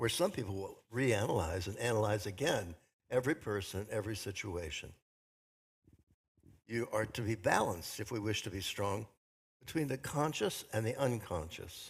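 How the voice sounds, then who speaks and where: On a very clean recording with a silent background, a man speaks at a fairly low pitch with a somewhat breathy sound, ordinary pitch variation and a moderate pace broken by long, frequent pauses. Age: 80s+. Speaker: minister. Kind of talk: sermon.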